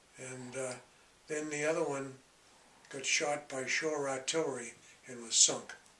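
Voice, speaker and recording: Noticeable background noise accompanies a man with an American accent. He talks at a fairly slow pace in a fairly high pitch, his intonation fairly even. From Massachusetts, USA. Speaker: war veteran. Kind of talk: interview answer.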